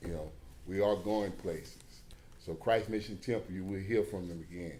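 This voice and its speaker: Speaking with an American accent, a man has a very deep, low pitch and a dark, mellow tone, with audible room echo around him. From Beaumont, Texas. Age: 60s. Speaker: church brotherhood president. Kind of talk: public comment at hearing. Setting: city planning commission meeting.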